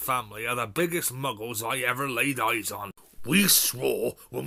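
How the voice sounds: The delivery is a natural reading voice with lively intonation.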